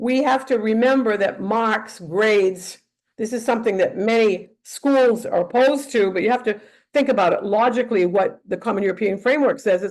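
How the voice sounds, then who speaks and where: With a Northeast US accent, a woman speaks at a moderate pace in a fairly high pitch, her pitch varying in an ordinary way. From northeastern US. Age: 80s+. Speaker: teacher trainer. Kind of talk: lecture. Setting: webinar. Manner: halting.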